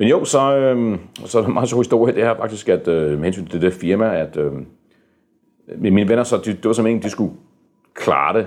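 Speaking at a moderate pace with long, frequent pauses, a man with a fairly low pitch uses lively intonation. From Denmark, moved from US at age four. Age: 50s. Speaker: board game publisher. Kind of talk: interview. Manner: halting, many fillers and repeated words.

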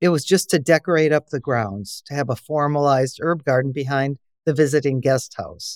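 Dry, close sound with no echo, with an Upper Midwest US accent and fairly even intonation. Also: woman. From Wisconsin. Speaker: herbalist and organic farmer. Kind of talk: interview.

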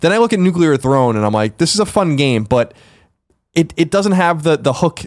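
Very cleanly recorded over a silent background, a man talks at a fairly quick pace with very wide pitch swings. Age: 30s. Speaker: podcast co-host. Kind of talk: casual chat.

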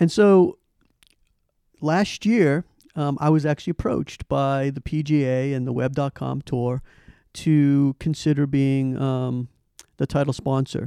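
A man with an American accent speaks at a fairly slow pace with long, frequent pauses, his fairly high pitch carrying a dark, mellow tone and ordinary pitch variation, recorded dry and close with no echo against a quiet background. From Boston, US. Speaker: tech company CEO. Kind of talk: interview. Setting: in person, company office.

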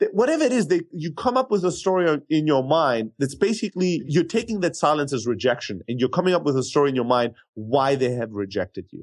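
A man with a fairly high pitch races along at a very fast pace, using very wide pitch swings. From Germany, Greek family. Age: 30s. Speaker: sales software entrepreneur. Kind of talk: interview.

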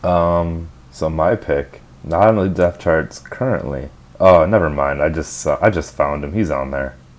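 With a Minnesota accent, a man speaks at a very deep, low pitch and a fairly slow pace. His pitch varies in an ordinary way. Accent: Minnesotan American. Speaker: podcast co-host. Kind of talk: casual chat. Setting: in a car.

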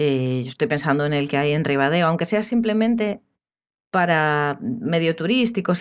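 A woman with an unremarkable speaking voice, ordinary pitch variation, moderate pace and a quiet background. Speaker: architect. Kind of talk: casual chat.

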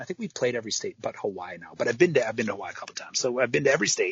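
This is a man's voice. He has an American accent. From US Midwest, Michigan. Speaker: rock band frontman. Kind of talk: casual interview chat.

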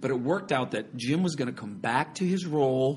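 This is an unremarkable speaking voice moving at a fairly quick pace. Its pitch shows ordinary variation. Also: man. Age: 40s. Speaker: stage actor. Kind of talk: casual chat.

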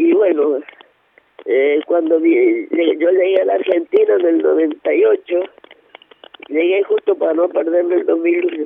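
A woman speaks at a very slow pace with long, frequent pauses and very even loudness. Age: 70s. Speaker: activist. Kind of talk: interview. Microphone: too quiet.

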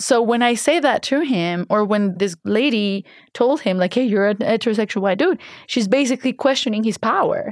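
A woman with a Spanish accent talks at a fairly quick pace and a fairly high pitch, her loudness very even. The recording is very clean and dry, close with no echo, over a silent background. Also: ordinary pitch variation. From Colombia. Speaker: art director and DJ. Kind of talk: interview.

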